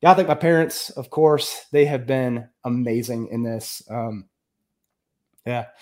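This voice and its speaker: With an American accent, a man speaks at a medium pitch, taking long, frequent pauses. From US Midwest, northern Illinois. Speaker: accounting professor and real estate investor. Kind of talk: casual interview.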